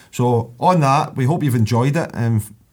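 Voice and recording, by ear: At a moderate pace, a man speaks with a medium pitch, ordinary pitch variation, a slightly husky edge and a slightly mellow tone.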